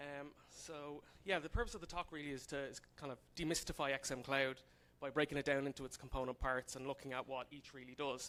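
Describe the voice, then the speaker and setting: With an Irish accent, a man speaks at a fairly high pitch and a fairly quick pace. His intonation stays fairly even. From Ireland, Dublin. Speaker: software consultant, conference speaker. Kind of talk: conference talk. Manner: casual, many fillers.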